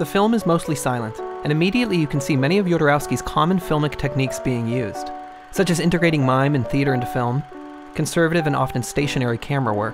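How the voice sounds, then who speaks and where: Very fast speech with music in the background. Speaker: video essay narrator. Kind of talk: documentary narration.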